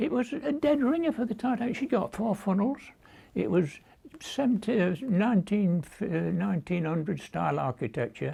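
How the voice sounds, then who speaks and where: A man's high voice in a British accent, dark and mellow in tone, with very wide pitch swings at a moderate pace. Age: 90s. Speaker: war veteran. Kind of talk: oral history interview. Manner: halting.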